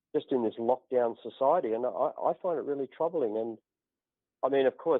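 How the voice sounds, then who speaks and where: Ordinary pitch variation in an Australian accent. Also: man. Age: 60s. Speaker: natural healer turned politician. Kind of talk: podcast interview.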